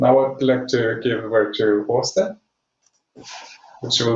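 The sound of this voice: At a slow pace, a man talks in a fairly low pitch with fairly even intonation.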